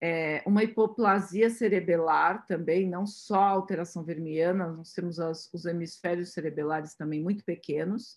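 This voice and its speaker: A woman with a fairly low voice talks at a moderate pace in a fairly even tone, hardly pausing at all. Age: 50s. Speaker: radiologist. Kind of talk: webinar lecture. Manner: halting, many fillers.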